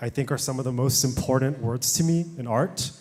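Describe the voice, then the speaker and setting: A man with an American accent at a moderate pace, medium pitch and ordinary pitch variation. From Texas, Houston. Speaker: audience member, painter. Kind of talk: audience question.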